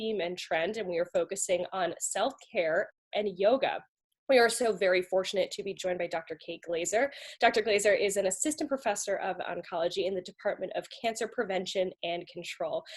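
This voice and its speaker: A woman's medium-pitched voice with ordinary pitch variation at a fairly quick pace. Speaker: media relations specialist hosting webinar. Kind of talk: webinar hosting. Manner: fast.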